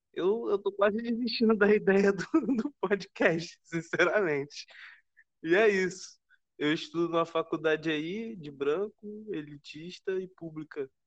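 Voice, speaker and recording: The recording is dry and close, with no echo. A man with a high voice talks at a fairly slow pace and ordinary pitch variation. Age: 20s. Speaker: podcast co-host, university student. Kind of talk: casual chat.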